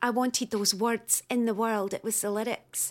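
On a very clean recording with a silent background, a woman with a Scottish accent and a fairly high pitch speaks at a fairly slow pace in a flat, monotone intonation. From Scotland. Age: 40s. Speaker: poet. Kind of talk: casual interview.

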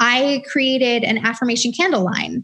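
In an American accent, a woman with a fairly high pitch uses an unremarkable speaking voice, ordinary pitch variation, against a quiet background. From US South, Atlanta. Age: 30s. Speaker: author and entrepreneur. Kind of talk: interview. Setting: video call.

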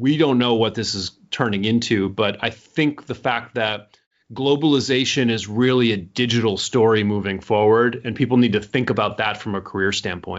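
A man with an American accent uses a normal speaking voice at a medium pitch, talking at a moderate pace with fairly even intonation. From United States. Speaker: author and business consultant. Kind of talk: interview. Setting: remote call.

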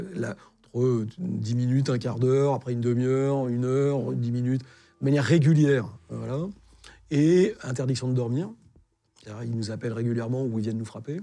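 A man speaks at a fairly quick pace with a dark, mellow tone, medium pitch, ordinary pitch variation, and long, frequent pauses. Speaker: war reporter. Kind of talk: interview testimony.

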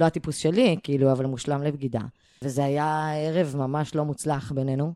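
Very deep and low in pitch, a woman speaks in a dark, mellow tone. She goes at a fairly slow pace, with a dry, close sound and no echo. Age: 30s. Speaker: stand-up comedian and musician. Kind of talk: casual chat. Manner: animated.

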